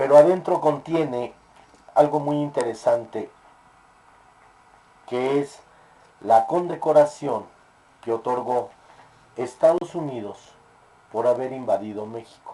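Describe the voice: With a dark, mellow tone and ordinary pitch variation, a man talks slowly, leaving long, frequent pauses, in a room with audible echo.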